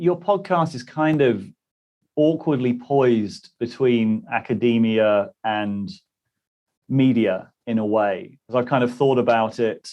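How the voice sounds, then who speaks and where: Speaking at a very slow pace, a man with a British accent uses lively intonation at medium pitch. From British Isles. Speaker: interviewer, channel host. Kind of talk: interview conversation.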